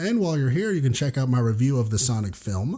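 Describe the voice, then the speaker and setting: Very fast, somewhat breathy man, medium in pitch, dark and mellow in tone, with very wide pitch swings. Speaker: youtuber. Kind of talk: video essay.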